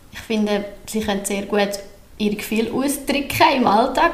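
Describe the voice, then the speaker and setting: A woman with a fairly high pitch talks at a moderate pace with fairly even intonation, amid audible room echo and noticeable background noise. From Central Switzerland (Obwalden). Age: 30s. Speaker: daycare centre director. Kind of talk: podcast interview. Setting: newly renovated room, not a studio.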